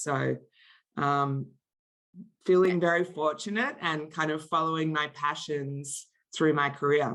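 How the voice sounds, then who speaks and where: Over a quiet background, a woman speaks at a moderate pace with an Australian accent. Her pitch is very deep and low. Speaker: marketing executive. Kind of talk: interview.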